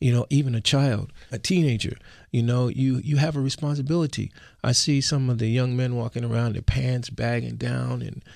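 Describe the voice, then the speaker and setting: An unremarkable speaking voice, a man at a medium pitch talks at a moderate pace with fairly even intonation against a quiet background. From US Northeast, West Philadelphia. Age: 60s. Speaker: musician and karate instructor. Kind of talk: radio interview. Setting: radio studio.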